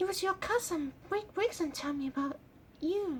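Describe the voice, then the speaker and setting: A female-sounding, put-on character voice comes out squeaky and extremely high-pitched. It moves at a moderate pace over clear background noise. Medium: read story.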